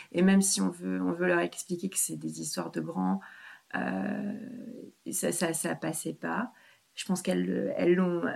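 Pausing often and at length, the woman talks at a fairly slow pace. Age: 40s. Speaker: separated mother. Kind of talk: interview. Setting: at her home. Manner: halting, many repetitions.

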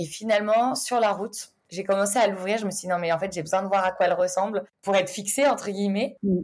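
A woman with an ordinary speaking voice talks at a fairly quick pace, her medium pitch held in fairly even intonation. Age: 20s. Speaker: business manager. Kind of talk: casual interview.

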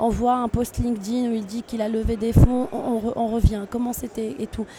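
With noticeable background noise underneath, the delivery keeps a moderate pace. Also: woman. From Tunisia. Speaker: international trade agency officer. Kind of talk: interview. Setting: tech trade show.

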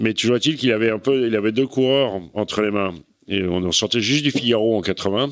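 The recording is very clean, and the background is silent. A man talks at a moderate pace, his pitch fairly low with ordinary pitch variation. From Normandy, France (Cherbourg). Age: 60s. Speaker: veteran offshore sailor. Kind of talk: casual interview. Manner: halting, many repetitions.

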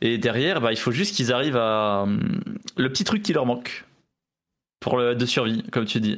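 Speaking with a normal speaking voice, a man keeps a moderate pace and lively intonation. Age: 20s. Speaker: esports player. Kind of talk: interview.

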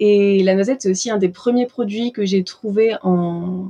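A somewhat breathy, dark, mellow voice at a moderate pace with fairly even intonation. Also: woman. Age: 20s. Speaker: pastry chef and shop owner. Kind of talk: interview conversation. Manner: hesitant, many fillers.

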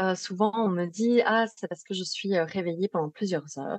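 With a slight Belgian accent, a woman talks at a moderate pace with ordinary pitch variation. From Belgium. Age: 30s. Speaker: psychologist specialized in sleep disorders. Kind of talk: interview.

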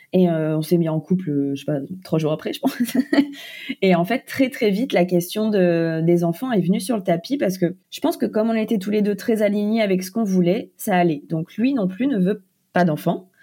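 A woman at medium pitch, lively in intonation, with a normal speaking voice. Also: moderate pace. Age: 20s. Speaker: author and content creator. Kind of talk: interview. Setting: remote interview.

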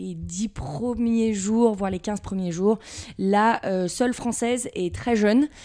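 A woman's pitch is fairly high, with ordinary pitch variation. Background noise is noticeable behind her. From Paris region, France (Levallois-Perret). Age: 20s. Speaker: sales manager. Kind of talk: interview.

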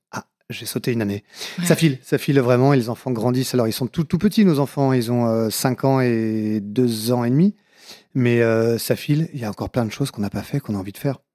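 Dry and close with no echo, a man's dark, mellow voice of medium pitch moves at a fairly quick pace. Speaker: comedian and author. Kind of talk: casual interview. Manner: very fast.

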